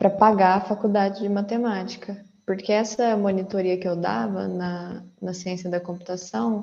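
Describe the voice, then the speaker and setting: With a dark, mellow tone, a woman speaks at a medium pitch. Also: ordinary pitch variation, moderate pace, hardly any pauses. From Brazil, interior of São Paulo state (Franca). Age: 20s. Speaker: data professional, former math teacher. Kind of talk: casual interview.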